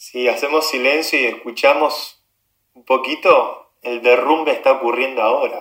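Fairly slow speech from a man with a Rioplatense accent and big swings in loudness. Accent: Argentine Rioplatense Spanish. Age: 30s. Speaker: tech entrepreneur and activist. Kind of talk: interview conversation.

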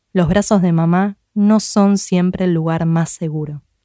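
The sound is dry and close, with no echo. A woman with an Argentine accent speaks at a moderate pace. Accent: Argentine Spanish (Rioplatense). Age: 30s. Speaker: podcast host. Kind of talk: scripted narration; interview.

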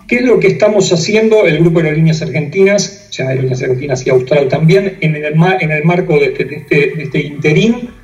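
Over noticeable background noise and audible room echo, a man with a fairly high pitch speaks at a fairly quick pace with hardly any pauses and ordinary pitch variation. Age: 60s. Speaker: airline pilot and operations manager. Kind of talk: interview. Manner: halting, frequent fillers.

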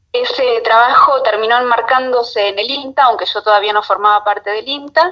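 The voice is a woman's. Its pitch moves in an ordinary way. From Argentina, Buenos Aires coast (Mar de Ajó). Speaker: fashion designer. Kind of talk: interview. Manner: hesitant, with repetitions.

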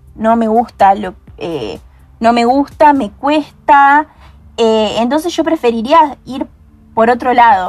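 A woman talks very slowly in a high voice, pausing long and often, her pitch varying in an ordinary way. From Argentina, Córdoba province (Hernando). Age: young. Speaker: software engineering student. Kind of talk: podcast interview. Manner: hesitant, many fillers.

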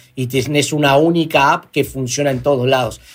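A man talks at a fairly quick pace in an ordinary speaking voice, his pitch fairly high for a man. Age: 40s. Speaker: entrepreneur, company CEO. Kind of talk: interview.

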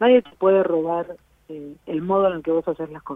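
Speaking at a fairly quick pace, a woman with a plain, everyday voice keeps a fairly low pitch and fairly even intonation. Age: 40s. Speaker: blogger and social media specialist. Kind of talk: casual interview.

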